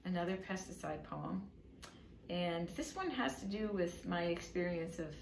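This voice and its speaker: A woman at a fairly slow pace, with ordinary pitch variation and noticeable background noise. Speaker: poet and author reading her own book. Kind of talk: casual talk introducing poems to an audience.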